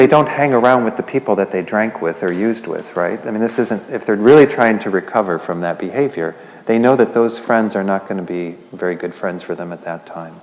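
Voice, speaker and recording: A soft-spoken man with a fairly low pitch talks at a fairly quick pace with hardly any pauses and ordinary pitch variation over noticeable background noise. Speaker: Buddhist lay teacher. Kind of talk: Buddhist teaching talk to a class.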